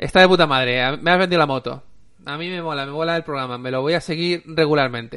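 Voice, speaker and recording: With ordinary pitch variation and a fairly high pitch, a man talks at a very fast pace. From Spain, Alicante province (Aspe). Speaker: podcast host. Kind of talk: casual chat.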